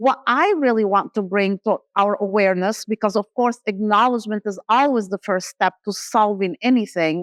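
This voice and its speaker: A woman with a non-native accent speaks at a moderate pace with hardly any pauses. Her fairly high pitch shows ordinary variation, heard in a dry, close sound with no echo. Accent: noticeable foreign. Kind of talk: conference talk. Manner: animated.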